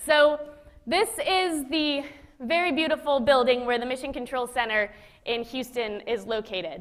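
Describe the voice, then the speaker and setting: A woman speaks in a high voice with lively intonation. Noticeable background noise runs underneath. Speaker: former space station flight controller. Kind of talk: public lecture. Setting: auditorium with live audience. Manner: fast; casual, conversational.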